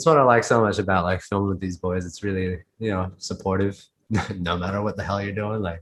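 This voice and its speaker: At a fairly quick pace, a man with an Australian accent talks with fairly even intonation. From Australia, Sydney. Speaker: inline skater. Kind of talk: casual interview. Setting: video call on laptop. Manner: casual, halting with fillers.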